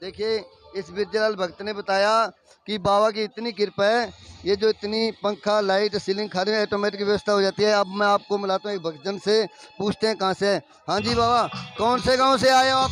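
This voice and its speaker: A man's high-pitched voice at a moderate pace, with fairly even intonation, a dry, close sound with no echo and noticeable background noise. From Haryana, Sirsa district. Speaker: village vlogger and comedian reporting from a fair. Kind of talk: on-location vlog with interviews.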